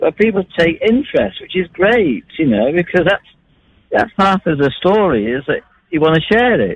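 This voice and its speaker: With lively intonation and a Mancunian accent, a man talks in a high pitch. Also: moderate pace. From Manchester, England. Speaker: long-distance traveller. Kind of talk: radio phone interview. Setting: phone call.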